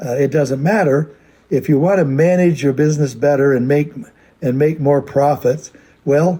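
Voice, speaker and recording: A somewhat breathy voice with a dark, mellow tone, a moderate pace and fairly even intonation. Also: man, fairly high pitch for a man. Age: 80s+. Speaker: company founder. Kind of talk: recorded address to a convention. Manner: halting, many fillers.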